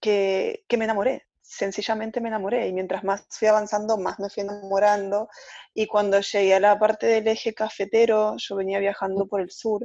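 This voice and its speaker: With a dark, mellow tone, a woman speaks at medium pitch and a moderate pace in a monotone, flat intonation. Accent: Argentine. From Argentina. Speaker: travel blogger. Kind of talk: casual interview.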